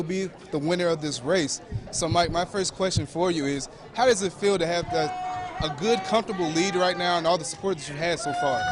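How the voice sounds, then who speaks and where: A man speaks at a fairly quick pace in an upbeat tone, high-pitched with ordinary pitch variation. Noticeable background noise runs underneath. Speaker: TV news reporter. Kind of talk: TV news reporter reel, live field reporting and interviews. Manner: upbeat, conversational live election-night reporting.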